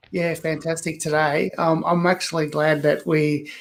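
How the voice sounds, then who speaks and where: Speaking in an Australian accent, a man uses a fairly high pitch with fairly even intonation. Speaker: author. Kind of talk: interview.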